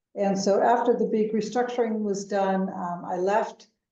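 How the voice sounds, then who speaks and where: A woman with an American accent has an unremarkable speaking voice, speaking at a moderate pace with fairly even intonation. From United States. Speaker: venture capital investor. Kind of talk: interview.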